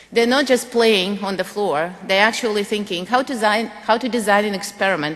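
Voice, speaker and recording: A woman speaks at a moderate pace and medium pitch over noticeable background noise. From Russia, Moscow. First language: Russian. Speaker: physics education professor. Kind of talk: lecture.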